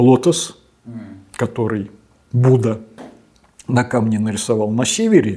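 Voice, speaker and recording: At a fairly slow pace, a man talks in a dark, mellow, somewhat breathy voice with fairly even intonation. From Russia, Samara. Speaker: paleontologist and professor. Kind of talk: interview.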